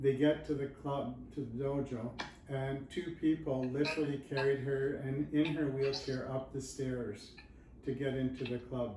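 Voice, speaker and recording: A man speaks fairly slowly at a fairly high pitch, his intonation monotone and flat. Room echo is audible. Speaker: judo book author. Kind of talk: casual interview chat.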